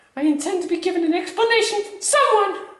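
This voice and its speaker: A woman uses a put-on character voice that is squeaky and extremely high, with ordinary pitch variation at a very fast pace. A clear echo surrounds her. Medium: stage play. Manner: affected, genteel.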